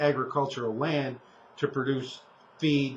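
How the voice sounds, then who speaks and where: A man talks at a fairly high pitch. His intonation is monotone and flat. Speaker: co-host of a local sustainability talk show. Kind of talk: casual discussion. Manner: halting, with many fillers and restarts.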